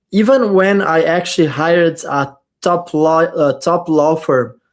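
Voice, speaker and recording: A high-pitched man with a non-native accent, in a very clean recording with a silent background. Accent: foreign accent in English. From Middle East. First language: not English. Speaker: crypto YouTuber. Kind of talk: casual chat.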